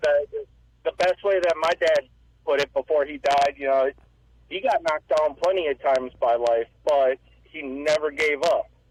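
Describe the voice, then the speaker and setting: Recorded dry and close with no echo, a man speaks at a moderate pace. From US Upper Midwest, around Michigan. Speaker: caller. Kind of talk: call-in radio talk.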